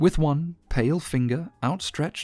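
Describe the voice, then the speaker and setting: Music plays in the background as a man speaks fairly slowly with lively intonation. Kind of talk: first-person story narration.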